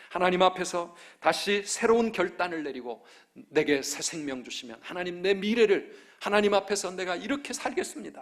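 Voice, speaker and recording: A man's high-pitched voice at a moderate pace. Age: 50s. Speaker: pastor. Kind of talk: sermon. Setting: church.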